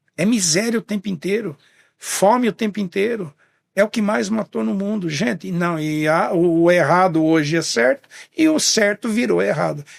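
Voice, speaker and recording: With a high pitch and lively intonation, a man speaks at a moderate pace in a dry, close sound with no echo. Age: 70s. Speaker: business owner. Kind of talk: podcast interview. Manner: halting, with repetitions.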